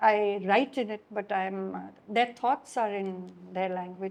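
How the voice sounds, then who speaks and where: A woman with a Gujarati accent speaks with ordinary pitch variation. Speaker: writer and journalist. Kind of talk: public talk conversation.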